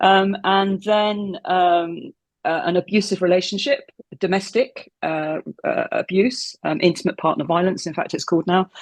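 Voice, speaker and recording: A woman with a plain, everyday voice speaks at a moderate pace and medium pitch, with ordinary pitch variation, in a dry, close sound with no echo. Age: 60s. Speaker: former cult member. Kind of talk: interview.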